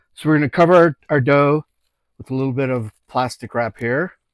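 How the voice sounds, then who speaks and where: A fairly quick male voice with ordinary pitch variation and a dry sound with no echo. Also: quiet background. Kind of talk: tutorial. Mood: relaxed, joking. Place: kitchen. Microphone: lapel.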